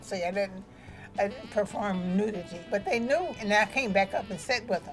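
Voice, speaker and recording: Moderately paced speech from a woman at medium pitch, with music in the background. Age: 80s+. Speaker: former dancer and real estate broker; army veteran. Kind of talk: interview answer.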